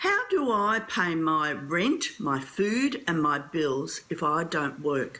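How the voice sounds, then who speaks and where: A woman with an Australian accent at a very slow pace and fairly low pitch, with very wide pitch swings, very even loudness and hardly any pauses, over noticeable background noise. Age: 60s. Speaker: early childhood educator asking a question. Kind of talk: audience question.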